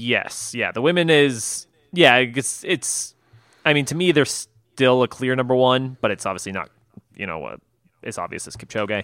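In an ordinary speaking voice, a man talks at a moderate pace with a medium pitch, lively intonation and big swings in loudness. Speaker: podcast co-host. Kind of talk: casual chat.

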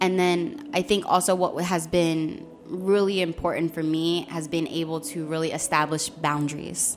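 Over noticeable background noise, a woman with an American accent speaks at a fairly low pitch and a fairly slow pace. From Philadelphia, US. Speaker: domestic violence awareness advocate. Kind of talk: interview. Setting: live broadcast from hotel.

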